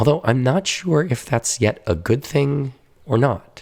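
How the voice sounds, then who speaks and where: Somewhat breathy, a man speaks fairly slowly at a medium pitch with lively intonation. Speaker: painting conservator. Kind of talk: documentary voice-over narration.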